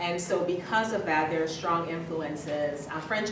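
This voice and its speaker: A woman speaks with a very deep, low voice. Noticeable background noise and audible room echo fill the recording. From Dominica, Caribbean. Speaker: education professor. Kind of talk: academic lecture. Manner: halting, many fillers.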